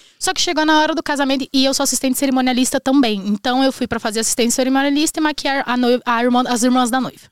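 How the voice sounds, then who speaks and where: A woman's high voice races at a very fast pace, very even in loudness and fairly even in intonation, with a dry, close sound and no echo. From Brazil, northwestern Paraná. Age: 20s. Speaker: immigrant entrepreneur, makeup artist. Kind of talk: casual chat.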